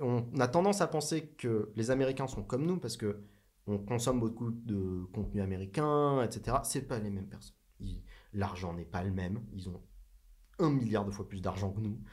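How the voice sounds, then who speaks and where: Lively intonation and a moderate pace from a man, a plain, everyday voice at a medium pitch. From southern France. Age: 30s. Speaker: tech entrepreneur. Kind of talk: casual interview.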